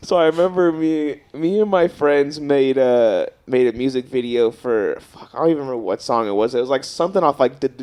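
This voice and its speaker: Over noticeable background noise, a man with a fairly high pitch speaks at a fairly quick pace, with ordinary pitch variation and hardly any pauses. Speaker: podcast co-host. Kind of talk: casual chat. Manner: halting.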